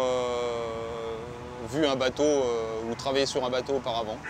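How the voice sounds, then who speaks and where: Here a man speaks at a very slow pace. His intonation stays fairly even. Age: 40s. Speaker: boat pilot instructor. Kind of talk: interview. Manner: hesitant, many fillers.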